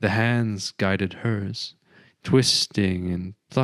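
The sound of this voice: The speaker uses an unforced reading voice. Behind it, the background is quiet.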